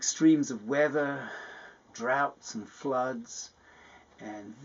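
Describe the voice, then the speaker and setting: This man has an English accent and a medium pitch. His intonation is lively and his pace fairly slow. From England. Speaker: climate scientist. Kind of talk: personal testimony interview.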